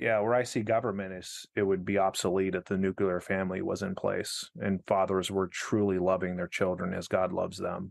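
A man with an American accent speaks at a fairly quick pace in a fairly low pitch. His intonation is monotone and flat, and the background is quiet. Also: hardly any pauses. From Arizona. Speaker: pastor. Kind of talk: casual interview.

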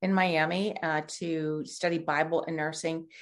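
A woman speaks with a US Midwestern accent. Her pitch is fairly low and her pace fairly slow. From Ohio, near Columbus. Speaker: nonprofit ministry founder. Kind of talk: interview.

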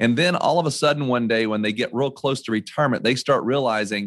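A man with an American accent uses a normal speaking voice at medium pitch with ordinary pitch variation. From North Carolina. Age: 40s. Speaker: financial advisor. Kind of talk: interview. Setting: office.

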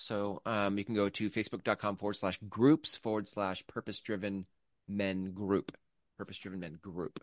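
Fairly low and fairly even in intonation, a man talks at a moderate pace in an ordinary speaking voice. The sound is dry and close with no echo, over a quiet background. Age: 40s. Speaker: podcast co-host. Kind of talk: casual chat.

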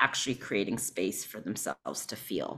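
A woman talks at a moderate pace in a bright, sharp tone. The recording is very clean, with a silent background. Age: 40s. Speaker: spiritual guide and somatic healer. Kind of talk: casual interview chat.

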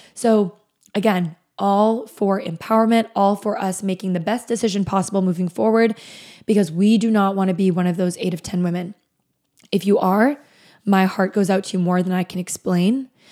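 A woman's medium-pitched voice with a dark, mellow tone at a moderate pace, on a very clean recording with a silent background. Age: 20s. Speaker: podcast host, fertility nutritionist. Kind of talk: solo podcast monologue. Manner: animated.

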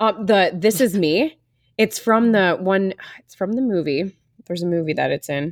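An unremarkable speaking voice moves at a moderate pace with lively intonation and big swings in loudness. The sound is dry and close, with no echo. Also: woman, medium pitch for a woman. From Wisconsin, US Midwest. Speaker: podcast host. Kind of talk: casual interview chat.

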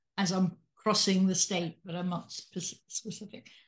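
Music can be heard in the background. A woman talks over it. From England (Salisbury). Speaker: podcast host, retired physician. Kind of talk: interview.

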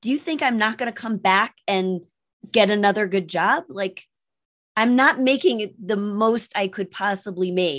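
An unremarkable speaking voice from a woman, at a moderate pace with ordinary pitch variation, over a quiet background. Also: medium pitch for a woman. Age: 50s. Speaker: sales coach and stand-up comedian. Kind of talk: interview.

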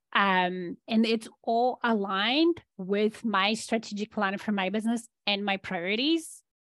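A woman speaks with a Polish accent at a fairly high pitch, using ordinary pitch variation, a fairly slow pace, hardly any pauses and very even loudness. The recording is very clean and dry, with a close sound, no echo and a silent background. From Poland. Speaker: business and leadership coach. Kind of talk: interview.

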